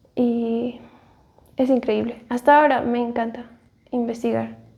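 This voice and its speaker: A woman talks at a fairly slow pace. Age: 30s. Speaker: churchgoer giving personal faith story. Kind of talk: testimony. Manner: halting, many fillers.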